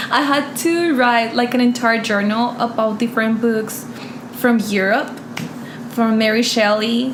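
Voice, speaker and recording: Amid noticeable background noise and audible room echo, a woman with a Spanish accent speaks at a fairly high pitch with very even loudness and fairly even intonation. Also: fairly slow pace. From Colombia. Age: 20s. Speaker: interview guest. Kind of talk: casual interview.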